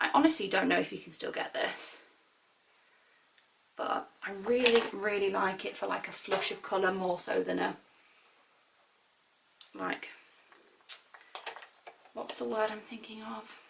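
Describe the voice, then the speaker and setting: A woman with a British accent talks at a fairly slow pace with long, frequent pauses. Background noise can be noticed behind her. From Britain. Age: 20s. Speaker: beauty vlogger. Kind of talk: makeup tutorial talk to camera. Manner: chatty, casual.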